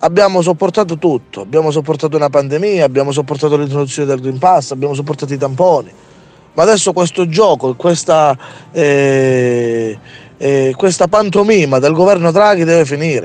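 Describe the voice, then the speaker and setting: A man talks at a fairly quick pace in an unremarkable speaking voice. His pitch is fairly high, with ordinary pitch variation. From Calabria. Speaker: activist protester. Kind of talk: angry rant. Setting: outdoors at a protest, remote link-up. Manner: angry, indignant, stumbling and repeating words.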